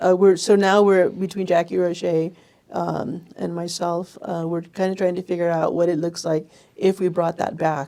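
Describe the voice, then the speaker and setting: Her tone is dark and mellow, with a fairly low pitch for a woman. She keeps a moderate pace and a monotone, flat intonation. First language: Spanish. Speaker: chamber of commerce operations director. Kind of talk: podcast interview.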